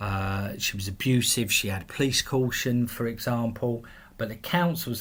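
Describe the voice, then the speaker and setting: Somewhat breathy, a man speaks at a moderate pace. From southeast England, London area (Belvedere/Erith). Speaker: men's rights campaigner, charity chair. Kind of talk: interview. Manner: hesitant, repeats words.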